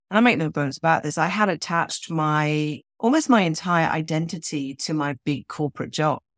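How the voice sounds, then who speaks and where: In a British accent, a woman speaks at a fairly slow pace with a fairly low pitch and ordinary pitch variation. The sound is dry and close with no echo, on a very clean recording with a silent background. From Switzerland. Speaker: novelist. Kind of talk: interview.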